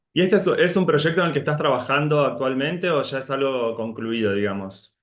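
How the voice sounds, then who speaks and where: A man with an Argentine accent speaks at a fairly quick pace. His fairly high voice has lively intonation. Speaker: moderator. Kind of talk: interview.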